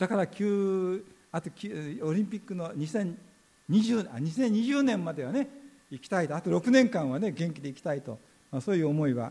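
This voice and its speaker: A man's high-pitched, dark and mellow voice with very wide pitch swings at a moderate pace. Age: 80s+. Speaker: pastor. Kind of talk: sermon.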